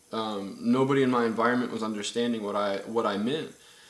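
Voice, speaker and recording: Audible room echo surrounds a man speaking at a moderate pace, medium in pitch with ordinary pitch variation. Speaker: spiritual vlogger. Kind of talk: personal testimony. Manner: halting, many fillers and repeats.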